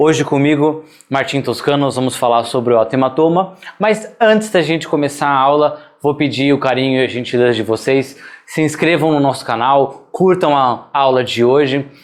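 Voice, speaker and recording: This man has a plain, everyday voice. His pitch is medium with ordinary variation, and his pace is moderate. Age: 30s. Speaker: veterinary surgery instructor. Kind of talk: online lecture. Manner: casual, conversational.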